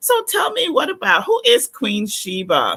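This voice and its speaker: A woman speaks with a Guyanese accent. Her tone is bright and sharp, and her pace is fairly slow. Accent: Guyanese Caribbean English. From Guyana. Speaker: talk show host. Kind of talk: live-stream interview.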